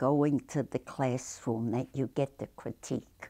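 A dark, mellow voice speaks at a fairly slow pace with an American accent. The intonation stays fairly even against a quiet background. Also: woman. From Brooklyn, New York. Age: 80s+. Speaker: artist, painter and sculptor. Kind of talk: interview answer. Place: home room.

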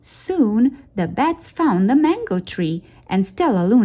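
Simply an unforced reading voice

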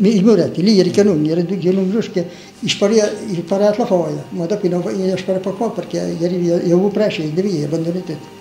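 A man with a strong Romagna accent, high-pitched and fairly quick, with fairly even intonation, audible room echo and light background noise. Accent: strong local Romagna dialect. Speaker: war veteran. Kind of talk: interview answer. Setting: old tape recording. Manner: plain, frank, colourful folk speech. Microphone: old recording.

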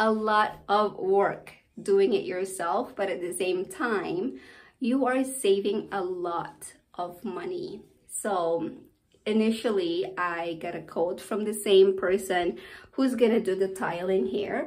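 The pace is very slow as a woman talks. She uses ordinary pitch variation. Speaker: home renovation vlogger. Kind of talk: casual vlog chat. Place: bathroom. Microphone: phone near.

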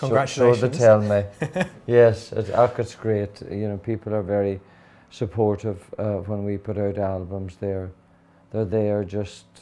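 A man speaks in a Donegal Irish accent at a fairly slow pace. His tone is dark and mellow. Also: fairly low pitch for a man. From Ireland (County Donegal). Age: 50s. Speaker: country singer. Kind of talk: interview answer. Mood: warm, friendly, chatty. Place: home room. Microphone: lapel.

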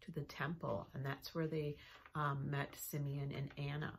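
Somewhat breathy and very deep, low in pitch, a woman speaks at a moderate pace with light background noise behind her. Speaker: children's ministry teacher. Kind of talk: lesson review for children. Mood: warm, encouraging. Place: office. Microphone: phone near.

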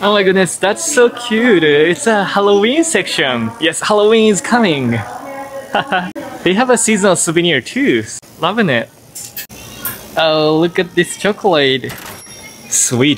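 Faint music plays in the background while a man talks at a fairly slow pace with long, frequent pauses. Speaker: travel vlogger. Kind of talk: casual vlog chat. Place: shop. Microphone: phone near.

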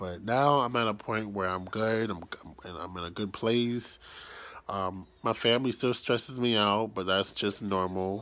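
Speaking at a fairly slow pace, a man uses fairly even intonation and a bright, sharp tone. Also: fairly low pitch for a man. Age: 20s. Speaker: YouTuber; vlogger. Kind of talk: personal vlog storytelling. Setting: at home, early morning, self-held camera. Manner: quiet, keeping voice down. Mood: relaxed, reflective, some frustration. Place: home room. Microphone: phone near.

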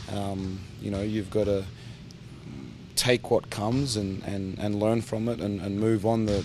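Music plays behind a man speaking at a moderate pace. The sound is dry, with no echo. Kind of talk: interview answer. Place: hall.

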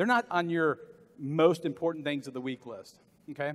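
With an American accent, a man speaks in an animated tone at a fairly quick pace. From US South. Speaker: motivational business speaker; motivational speaker. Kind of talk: conference keynote speech. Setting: stage with audience at conference. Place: hall.

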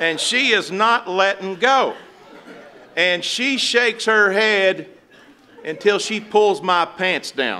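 A man with an American accent speaks in a raised, projected voice at a high pitch with ordinary pitch variation. He talks very slowly with long, frequent pauses over light background noise. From West Virginia. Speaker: pastor. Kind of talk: funeral sermon. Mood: warm, gently consoling. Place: church. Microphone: podium.

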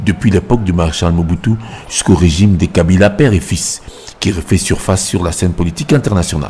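A man's very deep, low voice at a fairly quick pace, with ordinary pitch variation and noticeable background noise. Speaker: news reporter voicing report. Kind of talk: news reading, scripted report voiceover. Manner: formal, even, narrated.

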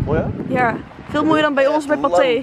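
A woman talks at a fairly quick pace. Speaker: vlogger. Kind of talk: casual vlog chat. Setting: outdoors, on location. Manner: casual, chatty.

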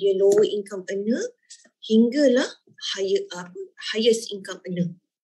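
A woman's voice rises and falls in a lively way against a quiet background. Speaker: business founder and sales leader; sales leader. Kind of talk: sales presentation. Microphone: video call.

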